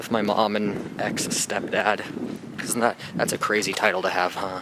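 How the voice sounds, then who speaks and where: A man talks at a moderate pace in a fairly low voice with monotone, flat intonation. Noticeable background noise is present. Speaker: vlogger. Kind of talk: casual vlog monologue.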